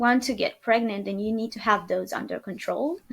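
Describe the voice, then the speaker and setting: A woman's fairly high voice with a Romanian accent, on a very clean recording with a silent background. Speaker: podcast guest, new mother. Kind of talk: interview, personal birth story. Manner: hesitant, many fillers.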